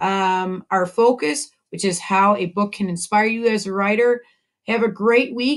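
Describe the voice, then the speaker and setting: A woman speaks at a fairly slow pace. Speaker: elementary school teacher. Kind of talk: online class lesson for children. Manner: loud; animated.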